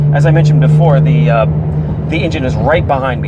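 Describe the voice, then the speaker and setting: Audible room echo and noticeable background noise are present. The voice is a man's. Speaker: car reviewer. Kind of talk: car review while driving. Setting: in a car.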